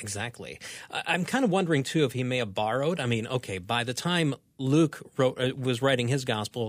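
In a plain, everyday voice, a man speaks at a moderate pace and medium pitch with ordinary pitch variation, on a very clean recording with a silent background. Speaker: radio show producer. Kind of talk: casual chat about bible passages. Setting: studio.

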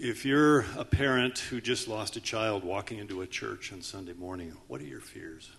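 This man has a plain, everyday voice, pitched fairly low, moving at a moderate pace with hardly any pauses and big swings in loudness. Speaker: panel moderator. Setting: conference stage with audience.

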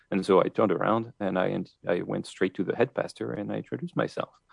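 A man talks at a very fast pace. He has a French accent. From France. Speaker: author. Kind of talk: radio interview.

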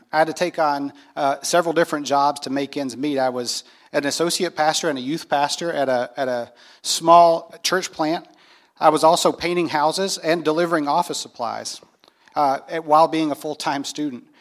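A man with an American accent talks at a moderate pace in an ordinary speaking voice, fairly high in pitch and fairly even in intonation. The recording is very clean, with a silent background. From US South, North Carolina. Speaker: pastor. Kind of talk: testimony. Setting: stage with audience.

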